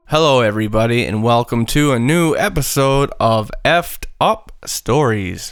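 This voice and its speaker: A man talks in a plain, everyday voice with lively intonation and very even loudness, at a fairly slow pace with hardly any pauses. The recording is very clean, with a silent background. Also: medium pitch for a man. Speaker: podcast host. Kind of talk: casual podcast conversation.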